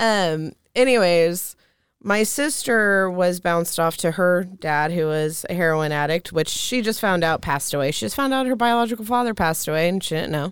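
On a very clean recording with a silent background, a woman with an American accent and a fairly low voice talks at a moderate pace with lively intonation. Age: 30s. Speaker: intuitive reader and energy healer. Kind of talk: casual chat, personal testimony.

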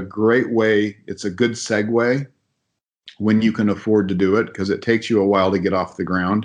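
The speaker has a normal speaking voice with an American accent. The pace is moderate. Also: man. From Southern California, small mountain town. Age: 50s. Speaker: contractor and real estate investor. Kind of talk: casual interview.

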